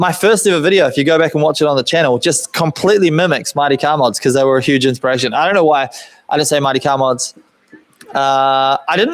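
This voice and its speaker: A man with a New Zealand accent talks very fast at a fairly high pitch, with ordinary pitch variation and very even loudness. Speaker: car builder and YouTuber. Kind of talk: live stream Q&A chat. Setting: home workshop live stream. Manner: casual, rambling with fillers.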